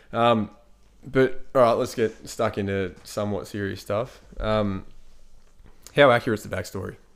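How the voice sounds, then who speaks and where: Pausing long and often, a man with an Australian accent speaks at a fairly low pitch with fairly even intonation. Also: moderate pace. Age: 30s. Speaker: podcast host. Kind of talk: casual chat. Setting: at his brother's home.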